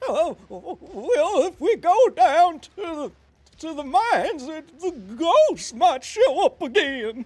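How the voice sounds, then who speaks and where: A man puts on a character voice at an extremely high pitch and speaks at a very slow pace. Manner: nervous, trembling.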